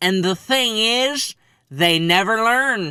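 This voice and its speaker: In a put-on character voice, a man speaks very slowly at a high pitch with lively intonation. The recording is very clean, with a silent background. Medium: read story. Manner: angry.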